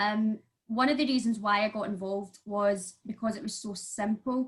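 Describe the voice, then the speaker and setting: A woman with a Glasgow accent speaks at a medium pitch. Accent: broad Glaswegian. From Scotland, Glasgow. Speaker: makeup artist and crypto investor. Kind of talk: online panel interview. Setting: online video event.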